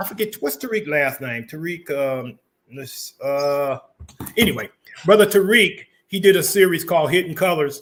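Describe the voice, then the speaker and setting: Speaking at a fairly slow pace, a man uses a plain, everyday voice. His pitch varies in an ordinary way. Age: 60s. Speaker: community talk show host. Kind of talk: casual interview chat.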